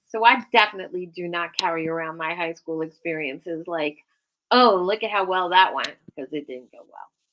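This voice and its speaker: With an unremarkable speaking voice, a woman talks at a moderate pace in a fairly low pitch, showing ordinary pitch variation and big swings in loudness. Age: 60s. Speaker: podcast host. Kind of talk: casual chat. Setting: live stream.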